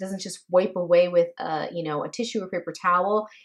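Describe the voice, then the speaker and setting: A woman speaks at a medium pitch. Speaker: beauty vlogger. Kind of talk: product review. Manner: fast.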